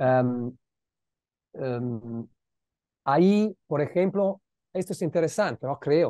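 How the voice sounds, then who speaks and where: A man with an Italian accent speaks very slowly with long, frequent pauses, his fairly high voice dark and mellow in tone, the sound dry with no echo and a quiet background. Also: lively intonation. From Italy, Milan. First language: Italian (speaking Spanish). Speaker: philosopher, guest lecturer; guest lecturer. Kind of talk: academic Q&A discussion mixing Spanish and Italian. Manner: halting, with many repeated words. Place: home room. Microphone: earbuds.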